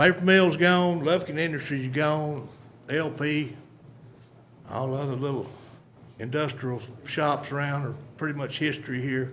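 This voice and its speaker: Speaking in an East Texas accent, a man uses a fairly high pitch and fairly even intonation, with long, frequent pauses. Audible room echo surrounds his voice. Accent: East Texas Southern drawl. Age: 60s. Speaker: local resident speaking at public hearing. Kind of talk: public comment at county budget hearing. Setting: county commissioners court meeting.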